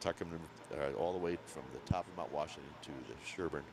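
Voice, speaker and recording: A man with a Maine accent and a very deep, low pitch, at a moderate pace with fairly even intonation and big swings in loudness. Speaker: ski race commentator. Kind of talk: casual chat.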